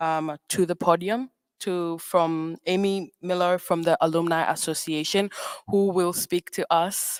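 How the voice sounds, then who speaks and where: Fairly slow, monotone delivery with flat intonation, dry and close with no echo, on a very clean recording with a silent background. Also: woman, fairly low pitch for a woman. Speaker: student master of ceremonies. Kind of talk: ceremony emcee introduction. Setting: graduation ceremony podium. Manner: hesitant, many fillers.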